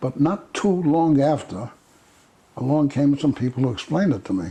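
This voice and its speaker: Somewhat breathy and medium in pitch, a man's voice rises and falls with lively intonation. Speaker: activist and veteran. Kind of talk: oral history interview.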